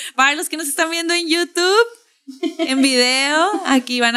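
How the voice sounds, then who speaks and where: In a northern Mexican accent, a woman speaks at a fairly slow pace with a raised, projected voice, a high pitch and a bright, sharp tone. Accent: northern Mexican, Tijuana. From Tijuana, Mexico. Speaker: podcast host. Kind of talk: casual chat.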